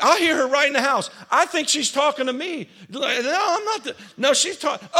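The voice is raised and projected, bright and sharp in tone, at a moderate pace. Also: man. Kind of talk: sermon, preacher in full flow with call-and-response. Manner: repeats phrases for emphasis and prompts the audience to answer.

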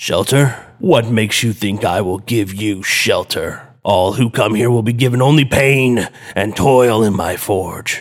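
A man uses a put-on character voice that is booming and growling. His pitch is medium and his pace is moderate. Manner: threatening.

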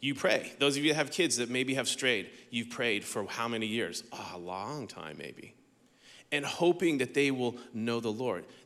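The voice has a bright, sharp tone and lively intonation, moving at a moderate pace with audible room echo. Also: man, medium pitch for a man. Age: 50s. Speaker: pastor. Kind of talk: sermon. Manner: conversational.

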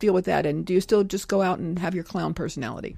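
Here a woman speaks with a dark, mellow tone, vocal fry and lively intonation. The recording is very clean, with a silent background. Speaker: podcast host and interviewer. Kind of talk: interview, scripted intro and outro.

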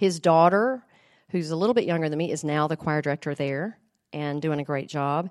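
Over a quiet background, a woman with a Southern US accent and a very deep, low pitch speaks at a fairly quick pace. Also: ordinary pitch variation. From US South, small-town Tennessee. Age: 50s. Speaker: voice teacher. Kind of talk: testimony. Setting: women's Bible study group.

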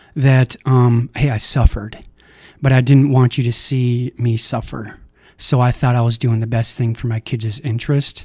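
In an American accent, a man speaks at a medium pitch and moderate pace with a dark, mellow, somewhat breathy tone and monotone, flat intonation, in a dry, close sound with no echo. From Minnesota. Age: 40s. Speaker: recovery house manager. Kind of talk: personal testimony.

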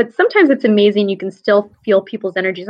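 A woman with an unremarkable speaking voice, medium pitch, a fairly quick pace and an American accent. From upstate New York. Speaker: academic advising administrator. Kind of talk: interview.

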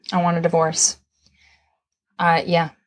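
A woman's somewhat breathy, fairly low voice at a moderate pace, over a quiet background. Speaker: podcast co-host.

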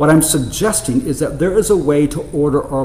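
A man with a fairly high-pitched voice talks while noticeable noise fills the background. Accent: American. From United States. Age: 50s. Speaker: preacher. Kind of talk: sermon.

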